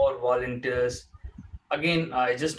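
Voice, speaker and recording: A man with an Indian accent at medium pitch and a fairly slow pace. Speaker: charity talk show co-host. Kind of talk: casual chat. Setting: live online talk show. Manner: halting.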